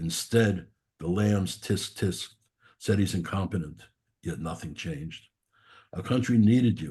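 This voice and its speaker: A man's somewhat breathy, very deep, low voice in a strong Brooklyn accent, fairly slow with ordinary pitch variation, against a quiet background. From New York, Brooklyn. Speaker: poet. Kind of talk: poetry reading.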